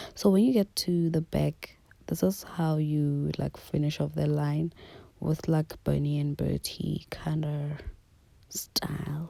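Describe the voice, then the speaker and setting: A woman speaks softly. Her pace is very slow. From South Africa. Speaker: beauty YouTuber. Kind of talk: tutorial. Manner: soft-spoken.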